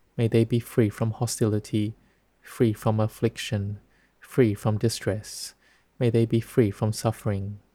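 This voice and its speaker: A man speaks at a fairly slow pace and medium pitch, his dark, mellow, calm, gentle tone somewhat breathy, with monotone, flat intonation and very even loudness. The very clean recording has a silent background and a dry, close sound with no echo. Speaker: Buddhist monk teaching Dhamma. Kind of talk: guided meditation. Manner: slow, calm, gentle and soothing.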